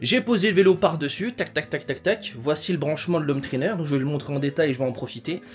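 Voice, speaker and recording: Speaking at a very fast pace with hardly any pauses, a man uses lively intonation in a fairly high pitch. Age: 20s. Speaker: fitness vlogger. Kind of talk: casual vlog. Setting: at home. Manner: casual, hesitant with fillers.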